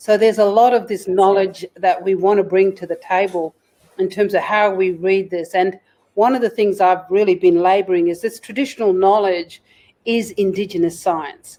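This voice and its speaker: A woman's dark, mellow voice sits at medium pitch. She speaks at a moderate pace with fairly even intonation. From Kimberley region, Western Australia. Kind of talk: podcast interview.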